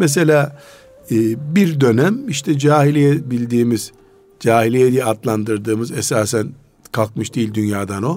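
A man with an ordinary speaking voice, ordinary pitch variation, and a fairly slow pace. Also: medium pitch for a man. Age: 60s. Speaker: Islamic scholar. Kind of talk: religious talk radio discussion. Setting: radio studio.

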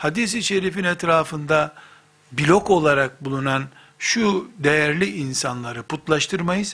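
In a normal speaking voice, a man talks at a fairly slow pace, with fairly high pitch and lively intonation. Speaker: Islamic preacher. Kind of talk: religious lecture.

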